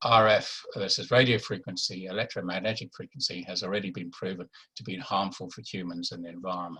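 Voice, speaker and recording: With a very deep, low pitch and a bright, sharp tone, a man speaks at a very fast pace with hardly any pauses and big swings in loudness. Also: fairly even intonation. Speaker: doctor giving a health talk. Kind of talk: webinar presentation. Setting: online webinar. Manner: halting, many fillers.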